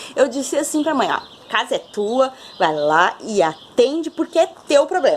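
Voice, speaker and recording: A woman speaks at a fairly slow pace and a high pitch, with very wide pitch swings. Noticeable background noise is present. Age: 30s. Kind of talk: personal testimony talk to camera. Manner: warm, casual.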